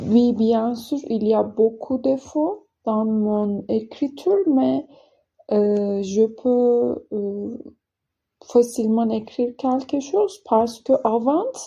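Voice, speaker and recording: In a dark, mellow tone, a woman with a non-native accent speaks at a very slow pace and fairly high pitch, with ordinary pitch variation. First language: not French (speaking French). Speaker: French learner vlogger. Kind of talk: casual vlog monologue. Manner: halting, many hesitations.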